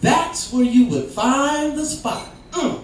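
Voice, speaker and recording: A woman speaks at a very slow pace in a high pitch. Audible room echo and noticeable background noise surround her voice. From Canada, Vancouver area. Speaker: spoken word poet. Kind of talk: spoken word performance. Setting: stage with audience. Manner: animated.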